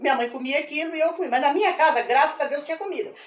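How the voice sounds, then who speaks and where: This woman talks with a high pitch and lively intonation. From Brazil, Presidente Prudente region, São Paulo state. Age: 70s. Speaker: retired history teacher. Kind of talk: personal testimony. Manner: halting, with repetitions.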